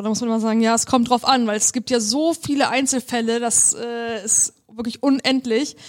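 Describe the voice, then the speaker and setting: With an ordinary speaking voice, a woman talks at a fairly high pitch and a fairly quick pace. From northern Germany, near Hamburg. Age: young. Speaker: lawyer. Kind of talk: casual interview. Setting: law office.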